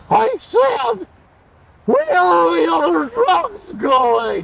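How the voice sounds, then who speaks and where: Squeaky and put-on, this is a character voice. It moves at a very slow pace. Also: man, extremely high pitch for a man. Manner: mock menacing.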